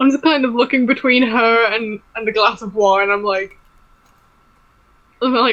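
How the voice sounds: A woman speaks at a fairly slow pace, her fairly high pitch and fairly bright tone carried on fairly even intonation.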